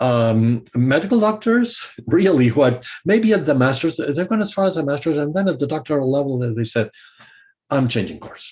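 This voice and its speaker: This man's fairly high voice is somewhat breathy, moving at a moderate pace with very wide pitch swings. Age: 60s. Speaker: music theory professor and composer. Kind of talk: interview. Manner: hesitant, many fillers.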